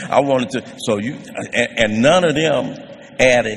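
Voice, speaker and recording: Noticeable background noise sits behind a man talking fairly quickly at a medium pitch. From US West Coast (South Central Los Angeles). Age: 70s. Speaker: recovery speaker. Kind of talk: testimony. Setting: stage with audience.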